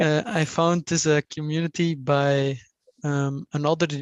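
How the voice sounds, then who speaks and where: With a non-native accent, the words come at a very slow pace. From Belgium. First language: not English. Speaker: engineering student. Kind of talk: self-introduction in a meeting. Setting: video call. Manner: halting, many fillers.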